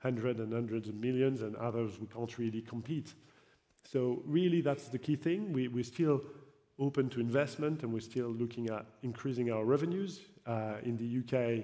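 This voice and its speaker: Speaking at a moderate pace, a man has a dark, mellow tone, a medium pitch and ordinary pitch variation. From France. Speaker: football league executive. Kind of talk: panel discussion. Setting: stage with audience. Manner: halting, many fillers and repetitions.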